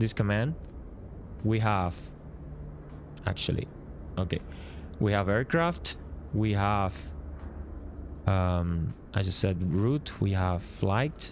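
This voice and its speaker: A man with a Spanish accent speaks at a very slow pace and fairly low pitch, with long, frequent pauses, very even loudness and ordinary pitch variation. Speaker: flight sim streamer and app developer. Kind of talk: live stream commentary. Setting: live stream. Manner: halting, many fillers.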